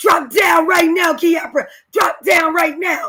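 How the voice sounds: A woman uses a put-on character voice at an extremely high pitch. She projects it loudly at a fairly slow pace.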